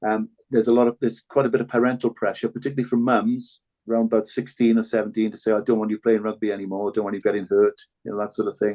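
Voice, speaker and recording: A man speaks very fast with a Cardiff accent in a dark, mellow tone. His intonation is monotone and flat, and the sound is dry and close with no echo. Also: medium pitch for a man. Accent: Cardiff Welsh English. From Wales, Cardiff (Ely). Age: 60s. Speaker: former rugby player and broadcaster. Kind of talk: podcast interview. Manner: halting, many repetitions.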